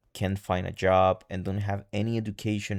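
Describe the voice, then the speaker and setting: With a Spanish accent and a very deep, low pitch, a man speaks at a moderate pace and with fairly even intonation on a very clean recording with a silent background. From El Salvador. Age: 20s. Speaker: vlogger. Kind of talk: personal vlog monologue. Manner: halting.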